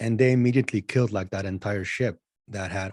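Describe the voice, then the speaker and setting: A man's medium-pitched voice with a dark, mellow tone, fairly even intonation and a moderate pace, on a very clean recording with a silent background. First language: not English (English is third language). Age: 40s. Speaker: spiritual channeler. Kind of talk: casual interview chat.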